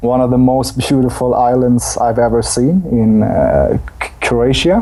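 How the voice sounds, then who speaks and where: Noticeable background noise fills the clip. Through it, a man speaks very slowly. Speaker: dance teacher. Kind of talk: podcast interview. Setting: at home, remote call.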